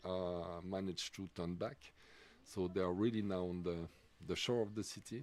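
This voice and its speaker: The speaker has a French accent. The intonation stays fairly even. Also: man. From Switzerland, French-speaking. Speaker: sports commentator. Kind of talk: live commentary. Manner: halting, many fillers.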